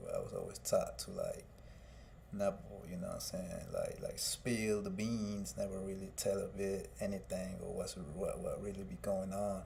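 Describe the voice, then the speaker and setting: The speech comes at a moderate pace, and room echo can be heard around it. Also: man. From Guatemala, raised in Fort Myers, Florida from age 8. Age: 30s. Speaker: music artist and livestreamer. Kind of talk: personal testimony on live stream. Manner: halting, many fillers.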